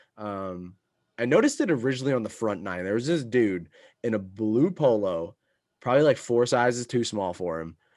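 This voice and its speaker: A fairly quick pace over a quiet background. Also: man. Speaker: golf podcast co-host. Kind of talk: casual chat.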